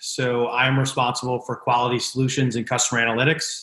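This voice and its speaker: Here is a man with an American accent and a medium pitch. His tone is bright and sharp, and his intonation stays flat and monotone. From Connecticut, US. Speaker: business executive, former college baseball pitcher. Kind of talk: interview conversation. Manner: frequent fillers and restarts.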